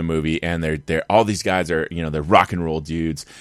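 The recording is very clean, with a silent background. A man with a very deep, low pitch talks at a very fast pace. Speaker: podcast host. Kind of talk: casual podcast monologue. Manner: halting, many fillers.

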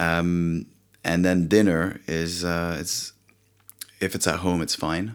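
Very deep and low in pitch, a man speaks with a French accent. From France. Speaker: company founder. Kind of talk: casual interview. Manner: halting, many fillers.

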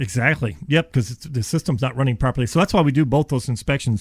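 A somewhat breathy, medium-pitched man at a very fast pace, with ordinary pitch variation. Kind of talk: radio ad pitch. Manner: friendly, conversational salesman.

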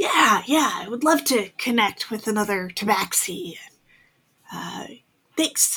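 A female-sounding put-on character voice with fairly high pitch moves at a fairly slow pace, broken by long, frequent pauses. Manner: nervous, prim and formal.

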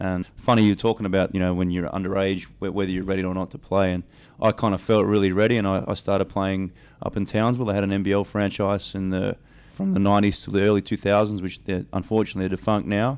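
Against a quiet background, a man with an Australian accent speaks very fast in a very deep, low pitch with monotone, flat intonation. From South Australia (Adelaide). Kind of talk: casual interview chat.

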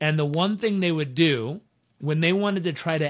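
The speaker is a man with a plain, everyday voice. His pitch sits fairly high. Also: quiet background. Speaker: speaker and show host. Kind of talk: interview.

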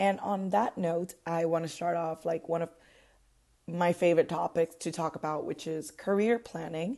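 A woman with a Puerto Rican accent speaks at a moderate pace in a dark, mellow tone. Her pitch is fairly low and her intonation fairly even. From Puerto Rico. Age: 20s. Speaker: podcast host. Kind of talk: casual monologue.

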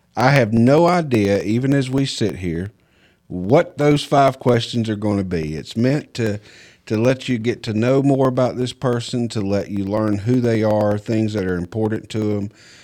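A man with a Southern US accent talks at a moderate pace in a medium pitch, his tone dark and mellow, with ordinary pitch variation. The recording is very clean, the background silent. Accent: Southern US, noticeable. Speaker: podcast host and home inspector. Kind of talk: casual interview chat.

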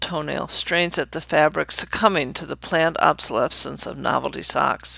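Bright and sharp in tone, a woman speaks at a moderate pace in a fairly low pitch. Vocal fry runs through her voice. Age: 70s. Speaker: essayist. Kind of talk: reading aloud.

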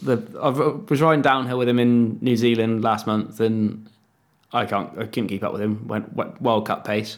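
A man talks with an English accent at medium pitch. His pace is moderate and his pitch variation ordinary. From England. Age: 30s. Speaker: freeride mountain bike rider. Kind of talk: casual chat.

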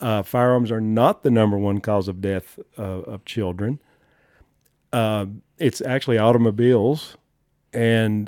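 A man's fairly low voice with a Southern US accent, fairly slow and fairly even in intonation, broken by long, frequent pauses, on a very clean, dry, close recording with no echo and a silent background. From US South, southern Appalachians. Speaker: gun rights advocate, former wildlife biologist. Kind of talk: casual interview chat.

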